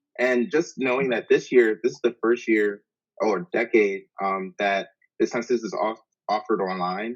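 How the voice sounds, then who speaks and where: A man with an American accent talks at a moderate pace and medium pitch. He has a plain, everyday voice with ordinary pitch variation. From Maryland, US. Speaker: college student. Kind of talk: interview.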